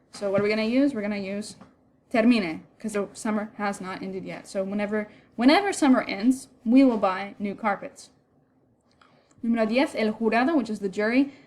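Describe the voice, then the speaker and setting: A woman with an unremarkable speaking voice talks at a moderate pace, her fairly high pitch rising and falling in an ordinary way. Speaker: Spanish teacher. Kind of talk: lecture.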